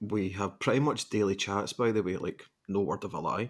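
A man speaks with a fairly low pitch. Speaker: podcast co-host. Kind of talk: casual chat.

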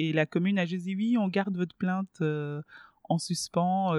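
A woman in a normal speaking voice, fairly low in pitch with fairly even intonation at a fairly slow pace, in a dry, close sound with no echo and a quiet background. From Belgium (Brussels), born in DR Congo. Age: 30s. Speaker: journalist and radio host. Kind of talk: casual interview.

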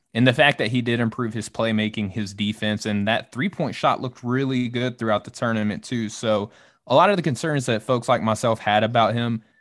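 Here a man speaks with a Southern US accent. His pace is very fast. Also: quiet background. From Arkansas, US South. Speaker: draft analyst, Navy member. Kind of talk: casual chat.

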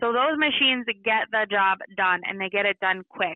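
A woman with a slight Minnesota accent, moderate pace and ordinary pitch variation. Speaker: marketing manager. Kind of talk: interview. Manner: frequent fillers (um, uh).

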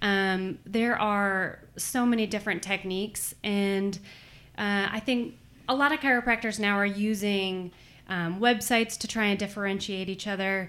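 On a very clean recording with a silent background, a woman with an unremarkable speaking voice talks at a moderate pace, medium in pitch and fairly even in intonation. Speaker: chiropractor, business owner. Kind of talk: interview conversation.

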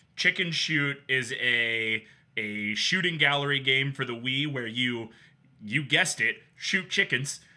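A man speaks at a fairly slow pace in a normal speaking voice. His pitch is medium, with ordinary variation. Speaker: podcast host. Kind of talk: casual banter, video game podcast.

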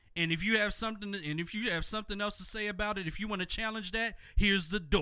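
Using a raised, projected voice with an American accent, a man speaks at a very fast pace with a high pitch, a bright, sharp tone and fairly even intonation. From Philadelphia. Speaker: radio host and voiceover artist. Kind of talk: testimony.

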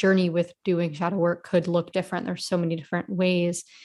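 A woman is talking. Her voice has a medium pitch. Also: very clean recording, silent background. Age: 20s. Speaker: inner work guide. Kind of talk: interview.

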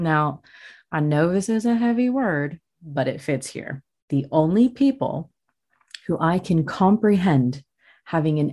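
Fairly low in pitch, a woman speaks at a fairly slow pace in a dark, mellow, somewhat breathy tone with lively intonation. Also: quiet background. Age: 30s. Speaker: podcast host. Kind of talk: solo monologue.

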